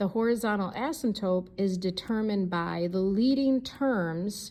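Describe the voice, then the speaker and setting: In a room with audible echo, a woman speaks at a medium pitch with ordinary pitch variation and a dark, mellow tone. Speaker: math teacher. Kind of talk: lecture. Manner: fast.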